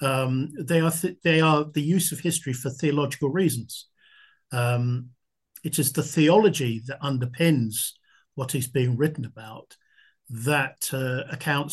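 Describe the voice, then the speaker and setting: A man with a fairly high, somewhat breathy voice speaks over a quiet background. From southern England. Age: 70s. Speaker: military historian and author; history teacher. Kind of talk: interview answers, explanatory.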